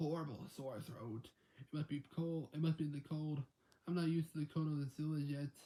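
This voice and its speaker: A man's put-on character voice, croaky, raspy and hoarse, fairly high in pitch, with fairly even intonation and a fairly quick pace. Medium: read story. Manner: whispering, hoarse.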